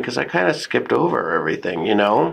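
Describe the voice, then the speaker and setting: There is noticeable background noise. A man talks fairly quickly with an American accent. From Texas, San Antonio. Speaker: comedian and fashion show host. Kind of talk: casual chat. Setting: getting a massage during recording.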